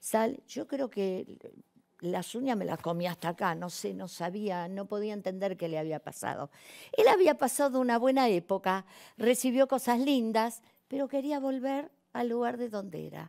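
Over a quiet background, a woman with a dark, mellow tone speaks at a moderate pace with lively intonation. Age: 60s. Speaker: actress and comedian; actress, comedian. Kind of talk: personal testimony on a talk show. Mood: emotional, moved. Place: studio. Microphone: lapel.

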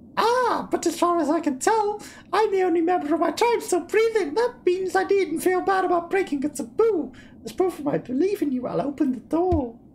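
A put-on character voice comes in at an extremely high pitch and a moderate pace. Clear background noise sits behind it. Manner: calm, mystical.

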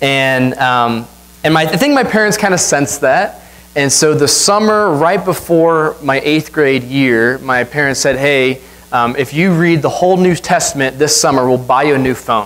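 A man with a normal speaking voice talks at a moderate pace, his pitch fairly high with ordinary variation and his loudness very even. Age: 20s. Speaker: guest preacher. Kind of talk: sermon. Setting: church. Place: church.

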